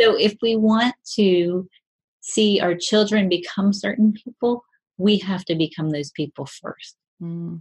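Somewhat breathy, a woman with an American accent speaks at a fairly slow pace. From Appalachian region, US. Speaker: author. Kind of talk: interview.

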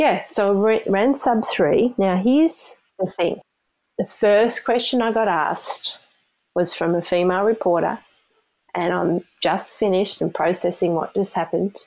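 A woman speaks with an Australian accent at a medium pitch and very even loudness. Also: ordinary pitch variation, moderate pace. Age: 50s. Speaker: amateur ultrarunner. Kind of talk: storytelling interview. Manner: animated.

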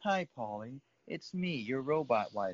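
Putting on a character voice, a man talks at a fairly slow pace and medium pitch.

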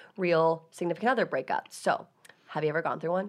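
Very fast speech from a woman, fairly low in pitch, against a quiet background. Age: 20s. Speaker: podcast host. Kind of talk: casual chat. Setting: studio. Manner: animated.

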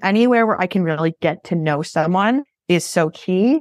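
In a dry, close sound with no echo and a quiet background, a woman with an American accent talks with lively intonation at a fairly low pitch. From Massachusetts, south of Boston. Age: 20s. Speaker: reality TV casting producer. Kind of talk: casual chat.

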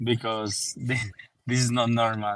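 A man speaks at a medium pitch with a Spanish accent. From Colombia. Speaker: football journalist. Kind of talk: casual chat. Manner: halting.

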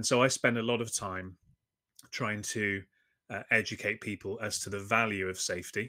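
A man with a London accent and a fairly low pitch speaks at a moderate pace in a bright, sharp tone. His intonation is monotone and flat, on a very clean recording with a silent background. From England (London). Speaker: safety consultant. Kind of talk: interview.

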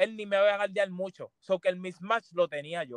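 The sound is close and dry, without any echo. He talks at a moderate pace. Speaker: professional basketball player. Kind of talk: casual interview.

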